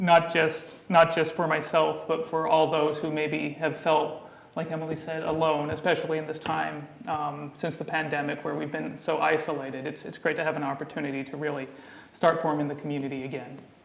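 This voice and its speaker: Over noticeable background noise and audible room echo, a man with an American accent talks at a fairly quick pace in a fairly high pitch with monotone, flat intonation. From Utah, US. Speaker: community committee co-chair, panelist. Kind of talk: panel discussion.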